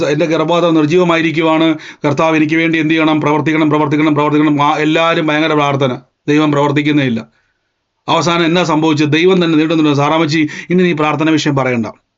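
A man's fairly high, flat monotone at very even loudness, with audible room echo. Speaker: preacher. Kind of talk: sermon.

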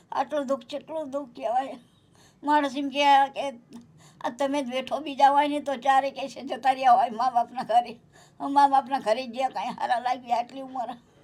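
With fairly even intonation, a woman speaks at a high pitch while her loudness swings widely. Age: 60s. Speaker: elderly woman receiving charity aid. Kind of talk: testimony.

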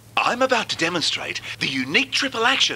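The pace is fairly slow. Loud background noise runs throughout. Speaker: presenter. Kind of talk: advertising demonstration.

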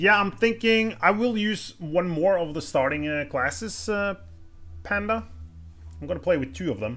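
Faint music is in the background. A man speaks at a moderate pace. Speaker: gaming streamer. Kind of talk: let's play commentary. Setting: live stream. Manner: casual, thinking aloud. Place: home room.

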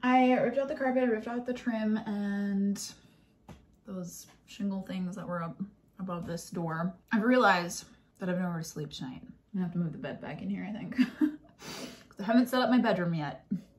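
A woman talks at a moderate pace in a somewhat breathy voice, with lively intonation and big swings in loudness. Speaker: home renovation vlogger. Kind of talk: casual vlog chat. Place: home room. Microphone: phone near.

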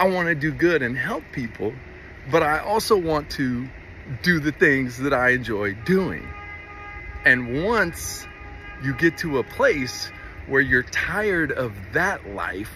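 With music in the background and a dry sound with no echo, a man speaks at a very slow pace, his pitch swinging very widely between long, frequent pauses. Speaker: vlogger. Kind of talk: casual vlog chat, heartfelt personal message. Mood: earnest, heartfelt. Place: open country. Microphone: phone near.

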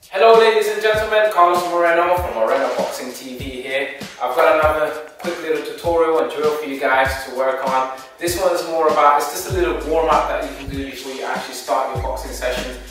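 Against faint background music and strong room echo, a man speaks at a fairly quick pace with big swings in loudness. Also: ordinary pitch variation. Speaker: boxing coach. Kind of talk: tutorial. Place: gym. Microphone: camera far.

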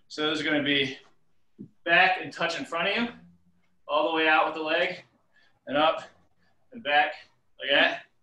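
With a bright, sharp tone, a man speaks amid audible room echo. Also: quiet background. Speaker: fitness instructor. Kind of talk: workout instruction. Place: home room. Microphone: video call.

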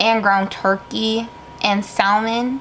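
Against light background noise, a woman talks at a very slow pace. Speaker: vlogger. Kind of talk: casual vlog chat. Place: home room. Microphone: phone near.

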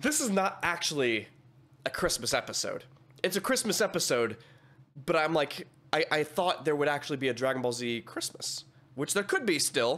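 A man keeps a moderate pace but stops for long pauses again and again. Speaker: reaction streamer. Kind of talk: casual reaction commentary. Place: home room. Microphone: studio mic.

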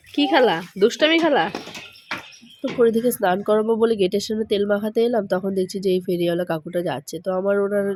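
A woman's medium-pitched voice carries lively intonation through noticeable background noise. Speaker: vlogger and mother. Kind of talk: casual vlog talk. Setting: kitchen at home.

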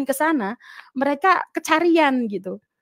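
Her voice high-pitched, a woman speaks with lively intonation. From Indonesia (Central Java). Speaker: convert to Christianity. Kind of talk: testimony. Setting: video call.

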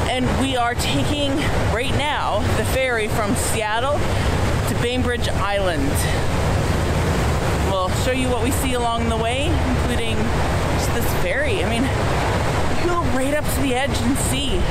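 Loud background noise sits behind a woman speaking with long, frequent pauses. The sound itself is dry with no echo. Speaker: travel vlogger. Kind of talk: casual vlog chat. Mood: cheerful, enthusiastic. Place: boat. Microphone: phone near.

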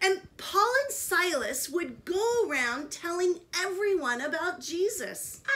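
A woman speaks very slowly in an extremely high pitch with very wide swings. Her tone is bright and sharp. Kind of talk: storytelling to children. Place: home room. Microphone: phone near.

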